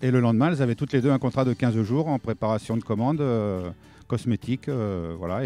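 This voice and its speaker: Music plays behind a man talking at a fairly quick pace. The sound is dry and close, with no echo. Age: 60s. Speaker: retired petrochemical worker, volunteer mentor. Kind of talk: interview testimony. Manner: halting, many hesitations.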